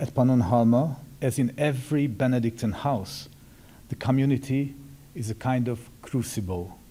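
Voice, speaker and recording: A man with a Hungarian accent speaks at a moderate pace in a medium pitch with ordinary pitch variation. His tone is dark and mellow, and somewhat breathy. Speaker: Benedictine monk. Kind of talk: formal speech. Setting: symposium audience.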